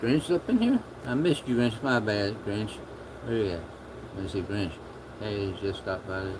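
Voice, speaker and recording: A soft-spoken man mumbles at a moderate pace in a fairly low voice, with ordinary pitch variation and long, frequent pauses. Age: 50s. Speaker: livestreamer. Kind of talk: casual chat. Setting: livestream. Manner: mumbling.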